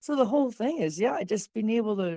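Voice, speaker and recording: Talking at a fairly quick pace, a woman has a dark, mellow tone. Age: 60s. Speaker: podcast guest interviewed about being over 60. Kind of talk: casual interview chat.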